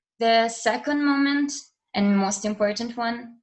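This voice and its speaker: A woman speaks in a somewhat breathy voice at a fairly slow pace. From Italy, Milan area. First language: Italian. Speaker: university student. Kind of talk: interview testimony. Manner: halting, many fillers.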